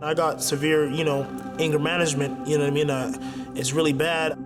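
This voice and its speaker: Music plays in the background. A man with a fairly high pitch speaks at a fairly quick pace in a flat monotone. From Canada. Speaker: professional MMA fighter. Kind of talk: interview answer. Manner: casual, halting.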